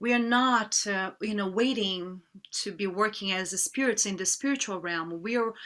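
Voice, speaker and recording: With a Portuguese accent, a woman speaks at a medium pitch. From Brazil. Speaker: yoga teacher. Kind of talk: interview. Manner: halting.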